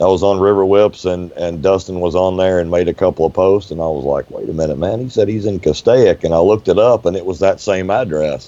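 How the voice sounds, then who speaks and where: The speaker has an American accent and ordinary pitch variation, over noticeable background noise. The pace is very fast, with hardly any pauses. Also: man, very deep, low pitch for a man. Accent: Southern hillbilly. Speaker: boat owner, drainage engineer. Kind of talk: casual podcast chat. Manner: animated storytelling.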